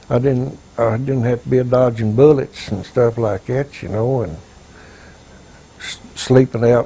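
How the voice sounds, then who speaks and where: Speaking at a fairly slow pace with a Southern US accent, a man keeps his intonation fairly even. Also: medium pitch for a man. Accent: Southern American. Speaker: war veteran. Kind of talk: interview answer.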